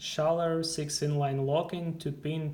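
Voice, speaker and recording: A very slow pace with a non-native accent. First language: not English. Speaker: guitar player. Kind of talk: product review talk to camera. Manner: hesitant.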